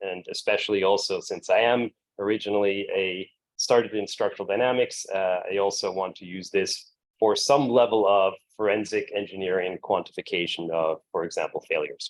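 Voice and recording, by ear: With an American accent, a man speaks low at a moderate pace with fairly even intonation.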